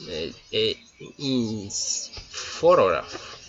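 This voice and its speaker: A man speaks with a Colombian accent. Music plays in the background. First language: Spanish. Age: 20s. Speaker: engineering student. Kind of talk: class presentation in English. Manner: halting.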